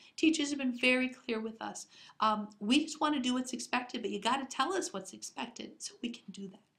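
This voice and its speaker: Squeaky and high-pitched, a woman talks at a fairly quick pace with big swings in loudness. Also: ordinary pitch variation. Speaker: school district curriculum administrator. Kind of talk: recorded staff presentation. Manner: hesitant with filler words.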